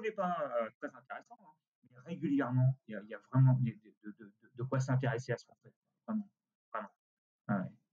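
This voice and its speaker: A man with a medium pitch and a dark, mellow, somewhat breathy tone talks at a fairly quick pace, his lively intonation and big swings in loudness broken by long, frequent pauses. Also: dry, close sound with no echo. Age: 60s. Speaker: costume rental company director. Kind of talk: interview. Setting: remote recording. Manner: halting.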